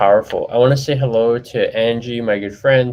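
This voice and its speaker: A man with a medium-pitched voice speaks at a fairly quick pace over noticeable background noise. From Hawaii. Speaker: live show host. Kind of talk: interview. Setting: live stream.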